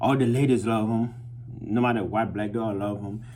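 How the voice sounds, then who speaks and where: Audible room echo surrounds a man at medium pitch. His voice is somewhat breathy, with fairly even intonation. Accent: non-native. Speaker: vlogger. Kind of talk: casual monologue. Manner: hesitant, full of fillers.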